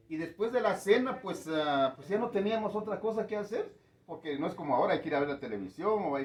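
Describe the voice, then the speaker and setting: A man talks at a moderate pace and a fairly high pitch. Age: 60s. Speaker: community elder. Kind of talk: interview. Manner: hesitant, many fillers.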